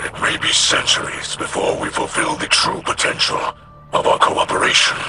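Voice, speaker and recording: A man speaks in a put-on character voice pitched extremely high, with clear background noise behind him. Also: moderate pace. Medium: short film. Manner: formal, solemn, measured.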